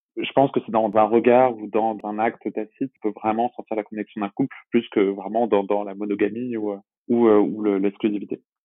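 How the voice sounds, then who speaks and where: His fairly low voice stays monotone and flat as the man speaks at a moderate pace. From Brittany, France (Brest). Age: 20s. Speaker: adult film actor and publishing worker. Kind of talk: interview. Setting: remote recording. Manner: hesitant, frequent word repetitions.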